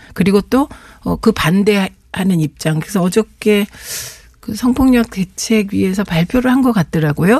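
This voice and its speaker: A woman speaks at a medium pitch with lively intonation and a fairly slow pace. Noticeable background noise runs underneath. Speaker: politician. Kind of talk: radio interview. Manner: formal.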